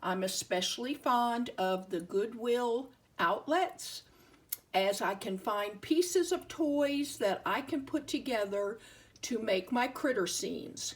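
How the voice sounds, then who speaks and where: A woman with an American accent speaks very slowly in a high voice, her pitch swinging very widely. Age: 70s. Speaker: toy collector and hobby crafter. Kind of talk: show-and-tell tutorial narration.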